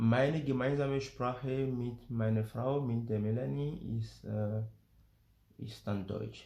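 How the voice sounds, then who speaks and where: At a very slow pace, a man talks in a dark, mellow tone of medium pitch with ordinary pitch variation. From Benin, Porto-Novo. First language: Gun and French (speaking German). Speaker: family vlogger emigrating to Africa. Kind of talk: casual vlog talk.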